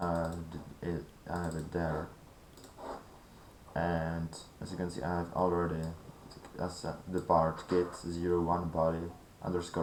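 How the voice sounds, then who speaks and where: A man with a very deep, low pitch and a non-native accent speaks at a moderate pace in a monotone, flat intonation, with long, frequent pauses and audible room echo. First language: not English. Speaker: gaming tutorial creator. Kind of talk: tutorial. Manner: halting.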